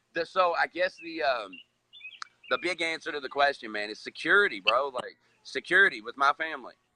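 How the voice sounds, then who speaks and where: A man with an American accent talks at a fairly high pitch with vocal fry. His loudness swings widely, and the sound is dry and close with no echo. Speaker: recovering addict, social media director. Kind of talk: casual chat.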